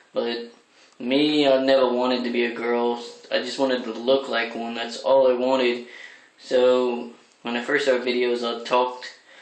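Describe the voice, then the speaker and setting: Audible room echo and noticeable background noise surround a man speaking at medium pitch in a monotone, flat intonation. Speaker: crossdressing vlogger. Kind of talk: casual vlog monologue. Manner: deliberately feminized voice, not natural speaking voice.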